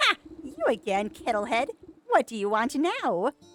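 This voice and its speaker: In a cackling put-on character voice, the speaker goes at a moderate pace with high pitch. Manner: mocking.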